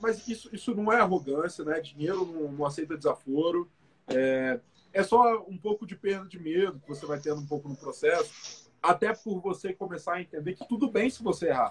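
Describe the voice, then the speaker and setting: A high-pitched male voice with lively intonation, big swings in loudness and a moderate pace. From Espírito Santo, Brazil (Guarapari). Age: 20s. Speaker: startup founder and CEO. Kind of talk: casual interview. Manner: casual, colloquial.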